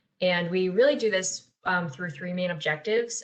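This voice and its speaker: This is an ordinary speaking voice at a moderate pace with ordinary pitch variation. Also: woman. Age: 20s. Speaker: youth peer support specialist. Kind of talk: webinar presentation.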